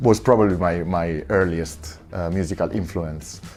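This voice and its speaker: There is noticeable background noise as a man speaks with an Italian accent. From Italy, Monza near Milan. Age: 30s. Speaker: record shop owner and DJ. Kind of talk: interview monologue. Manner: halting, many fillers.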